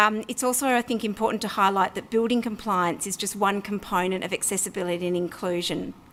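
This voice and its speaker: A woman speaks in an Australian accent with ordinary pitch variation. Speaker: local councillor. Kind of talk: council meeting debate speech. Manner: fast.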